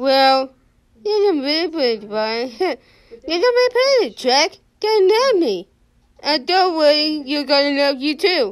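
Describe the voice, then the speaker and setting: A woman puts on a character voice, talking high-pitched and at a fairly slow pace. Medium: fan dub. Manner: cheerful, coaxing, insistent.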